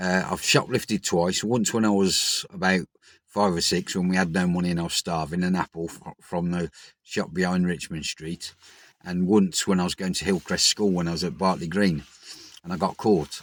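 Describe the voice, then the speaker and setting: Here a man talks with a Birmingham accent at a moderate pace. His pitch is very deep and low, and the recording is very clean with a silent background. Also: fairly even intonation. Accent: Birmingham (Brummie) English. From Birmingham, England. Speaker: recovering addict vlogger. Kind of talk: personal vlog monologue.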